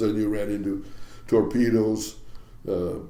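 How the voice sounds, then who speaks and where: There is audible room echo around a man speaking with an American accent. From US Pacific Northwest, Ballard, Seattle. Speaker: retired fishing captain. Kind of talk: interview storytelling.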